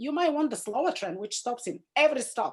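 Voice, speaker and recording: A woman speaks with a Bulgarian accent. Her pace is moderate and her intonation lively. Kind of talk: Zoom class talk. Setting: video call.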